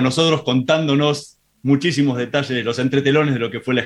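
Here a man speaks in a normal speaking voice. His pitch is medium and his intonation fairly even. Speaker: radio host. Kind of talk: radio interview.

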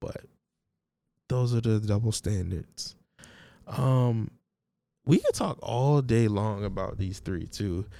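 Long, frequent pauses break up a man's very slow speech. His tone is dark and mellow. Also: ordinary pitch variation. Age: 20s. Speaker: podcast host. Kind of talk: casual solo monologue. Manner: casual, joking, slangy.

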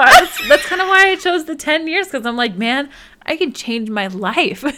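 Her voice is raised and projected, with a bright, sharp tone and high pitch. The woman moves at a moderate pace through very wide pitch swings. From Alaska. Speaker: podcast co-host. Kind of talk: casual chat.

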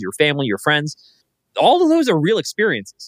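In a very clean recording with a silent background, a man with a normal speaking voice talks at a fairly quick pace and a fairly high pitch. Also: dry, close sound with no echo. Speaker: podcast host and startup founder. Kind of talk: casual conversational interview.

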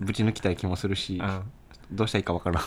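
A man speaks at a fairly low pitch with fairly even intonation, and there is noticeable background noise. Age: 20s. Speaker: band bassist, podcast co-host. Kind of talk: casual chat.

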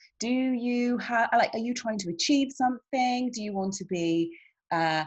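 A woman with a British accent sounds somewhat breathy as she speaks at a moderate pace. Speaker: online show host. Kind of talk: interview.

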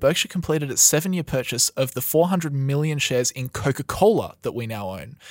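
In an Australian accent, the speaker talks very fast with ordinary pitch variation over a very clean recording with a silent background. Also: man. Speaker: podcast host. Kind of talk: casual chat. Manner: casual, conversational.

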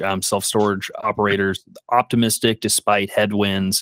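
A plain, everyday voice is captured dry and close with no echo, on a very clean recording with a silent background. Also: man. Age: 30s. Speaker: podcast host, real estate investor. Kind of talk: interview.

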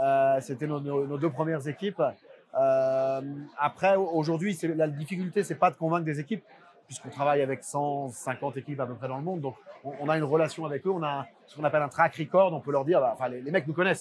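Over noticeable background noise, a man with a fairly high voice talks at a fairly quick pace, with ordinary pitch variation and big swings in loudness. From France. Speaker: tech company CEO. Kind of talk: interview. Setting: conference venue. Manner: halting, many repeated words and fillers.

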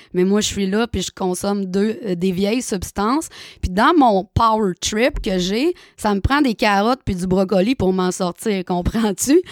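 This woman has a plain, everyday voice at a medium pitch, speaking at a fairly slow pace with ordinary pitch variation, recorded very cleanly against a silent background with a dry, close sound and no echo. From Quebec, Saguenay-Lac-Saint-Jean (Chicoutimi). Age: 30s. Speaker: recovering alcoholic sharing her story. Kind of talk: personal testimony.

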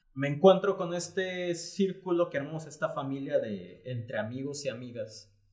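With an unremarkable speaking voice, a man talks at a moderate pace and fairly high pitch, using ordinary pitch variation and hardly any pauses. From Panama, then Guadalajara, Mexico. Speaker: graphic artist and entrepreneur. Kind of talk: casual interview conversation.

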